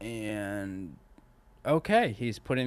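Over a quiet background, a man talks at a very slow pace. His pitch varies in an ordinary way. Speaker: comedian. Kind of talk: casual chat.

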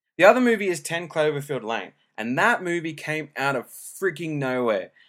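A fairly high-pitched man with an Australian accent and very wide pitch swings. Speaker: podcaster. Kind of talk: casual solo podcast monologue. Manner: casual, informal, hesitant with filler words.

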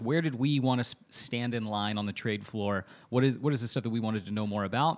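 A man at a medium pitch and a very fast pace, in a very clean recording with a silent background. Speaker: podcast host, social media agency founder. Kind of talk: casual chat.

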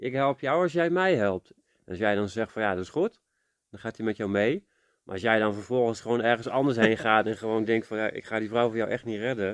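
A man's normal speaking voice at a medium pitch, with ordinary pitch variation, a fairly quick pace, big swings in loudness, and a dry, close sound with no echo against a quiet background. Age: 40s. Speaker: podcast co-host. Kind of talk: casual chat.

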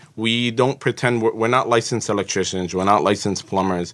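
Speaking with an American accent, a man has an unremarkable speaking voice, a fairly quick pace and ordinary pitch variation. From Jersey City, New Jersey. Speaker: home inspector and civil engineer. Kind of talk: podcast interview.

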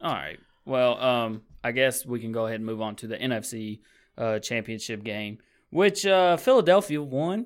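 A man with a plain, everyday voice speaks in a medium pitch with lively intonation. The recording is very clean, with a silent background. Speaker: podcast host. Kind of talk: casual sports talk. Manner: chatty.

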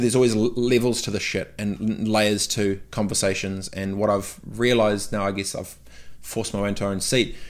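A man with a New Zealand accent speaks at a fairly low pitch. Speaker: entrepreneur. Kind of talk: casual interview chat. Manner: animated.

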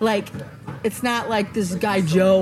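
A woman speaks at a fairly slow pace with fairly even intonation. Noticeable background noise sits behind her. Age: 50s. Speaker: podcast host. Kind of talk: casual chat. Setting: outdoors.

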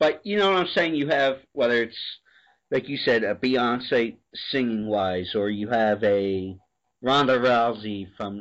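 A man with an American accent speaks fairly slowly in an ordinary speaking voice at medium pitch, with lively intonation. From US Northeast. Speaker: podcast host. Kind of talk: casual chat.

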